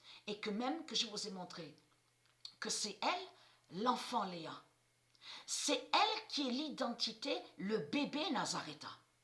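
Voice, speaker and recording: Speaking very slowly with long, frequent pauses, a woman swings her fairly high pitch very widely over noticeable background noise. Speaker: esoteric video channel host. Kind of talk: monologue to viewers. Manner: halting, repetitive.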